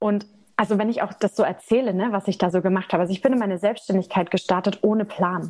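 A woman at medium pitch talks at a very fast pace, her intonation fairly even. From Germany, Nuremberg (Franconia). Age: 20s. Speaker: energy healer. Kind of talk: casual interview chat.

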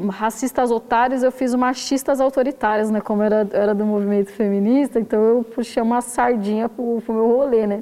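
Over noticeable background noise, a woman speaks at a fairly high pitch and a fairly quick pace. Her intonation is monotone and flat, with hardly any pauses. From south side of São Paulo, Brazil. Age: 30s. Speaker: poet, zine author. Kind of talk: casual interview.

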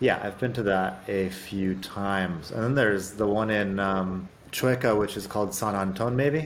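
Amid noticeable background noise and audible room echo, a man with an American accent speaks at a fairly low pitch and a moderate pace, with ordinary pitch variation and hardly any pauses. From Arizona, US. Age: 40s. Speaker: podcast host. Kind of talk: casual interview chat.

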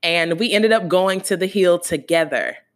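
A woman's medium-pitched voice with an American accent, fairly slow and animated, with ordinary pitch variation, on a very clean recording with a silent background. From US South, Gainesville, Florida. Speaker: podcast host. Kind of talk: casual monologue.

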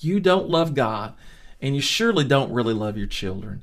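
A man with a Southern US accent, animated in tone and lively in intonation. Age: 50s. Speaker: Bible teacher. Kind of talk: Bible study lesson.

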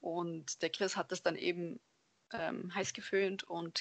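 Delivery is very slow. The intonation remains fairly even. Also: woman. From Germany, Allgäu (Bavarian Swabia). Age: 20s. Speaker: lab technician and cosplayer. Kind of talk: casual interview.

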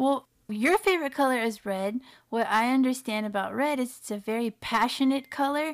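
A woman talks at a fairly slow pace with ordinary pitch variation, in an unremarkable speaking voice. The recording is very clean, with a silent background. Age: 30s. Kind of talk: casual interview chat.

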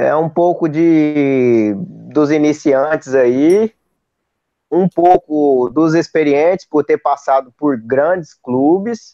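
Very slow and very even in loudness, the voice has a dark, mellow tone, ordinary pitch variation and a dry, close sound with no echo. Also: man, fairly high pitch for a man. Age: 20s. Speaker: football fan, channel supporter. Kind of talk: casual chat.

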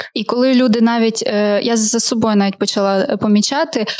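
Noticeable background noise accompanies a woman whose intonation stays fairly even. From Ukraine, Kharkiv. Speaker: podcast host. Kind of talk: casual interview. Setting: studio.

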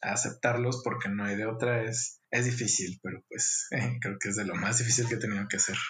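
Hardly pausing at all, a man talks at a fairly quick pace and medium pitch in a monotone, flat intonation. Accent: Mexican. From Mexico, Guadalajara, Jalisco. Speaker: architect. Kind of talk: interview. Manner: halting, with frequent repetitions.

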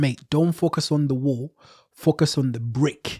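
A man's fairly high, somewhat breathy voice with a dry, close sound and no echo. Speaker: podcast host. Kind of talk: casual interview chat. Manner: talkative, upbeat.

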